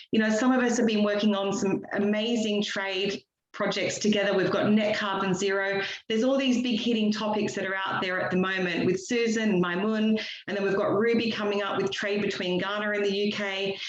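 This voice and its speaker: A woman with an Australian accent talks at a fairly quick pace in a monotone, flat intonation, with noticeable background noise and audible room echo. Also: medium pitch for a woman. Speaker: business network director. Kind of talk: online meetup remarks.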